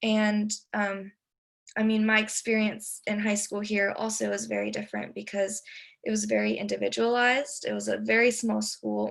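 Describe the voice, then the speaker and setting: A woman's voice comes at a moderate pace. The recording is very clean, and the background is silent. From Texas and North Carolina, US. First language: Spanish. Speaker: immigrant student panelist. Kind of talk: panel discussion.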